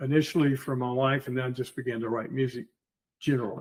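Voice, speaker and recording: Speaking in a Southern US accent, a man with a medium pitch keeps his intonation monotone and flat. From US South, Georgia. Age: 70s. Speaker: war veteran and amateur composer. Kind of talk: interview conversation.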